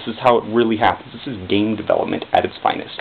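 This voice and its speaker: At a moderate pace, the speaker talks over noticeable background noise. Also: man. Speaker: indie game developer. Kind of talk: casual talk to camera. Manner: awkward, halting, stuttery.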